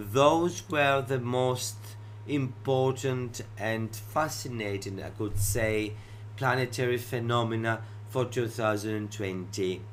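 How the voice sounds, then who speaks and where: In a Greek accent, the speaker talks at a very slow pace with fairly even intonation, and audible room echo surrounds the voice. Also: man. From Greece. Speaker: astrologer. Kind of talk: educational talk show monologue.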